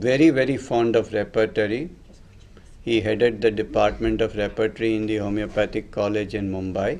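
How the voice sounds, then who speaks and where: A man talks at a fairly quick pace in a fairly low pitch. His intonation stays fairly even. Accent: Tamil. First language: Tamil. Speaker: homeopathy teacher. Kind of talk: lecture.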